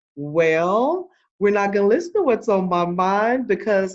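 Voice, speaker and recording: A woman talks in a plain, everyday voice at medium pitch with lively intonation. The background is quiet. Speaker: podcast host. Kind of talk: podcast intro.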